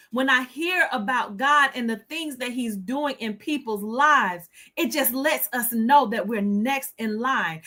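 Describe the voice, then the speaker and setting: A raised, projected voice with a bright, sharp tone and lively intonation comes at a fairly slow pace. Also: woman. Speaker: livestream host. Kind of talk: inspirational livestream talk. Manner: stutter.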